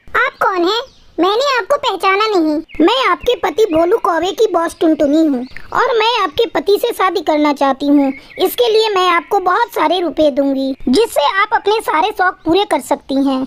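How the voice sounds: In a cartoonish character voice, a female-sounding speaker talks at an extremely high pitch. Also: moderate pace.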